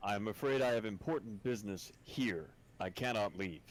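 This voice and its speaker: The put-on character voice holds a very even loudness throughout. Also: man, fairly low pitch for a man, moderate pace. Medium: actual play. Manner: formal, measured.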